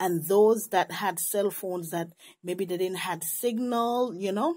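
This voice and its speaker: A woman with a Caribbean accent speaks at a fairly slow pace in a medium pitch, her tone dark and mellow with ordinary pitch variation, on a very clean recording with a silent background. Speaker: religious visionary sharing a vision. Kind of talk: testimony. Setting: night.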